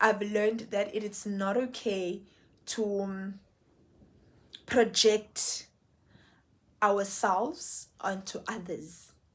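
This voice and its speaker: A somewhat breathy, medium-pitched woman's voice with a South African accent. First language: Xhosa. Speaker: YouTuber, lifestyle vlogger. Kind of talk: casual vlog monologue. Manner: animated.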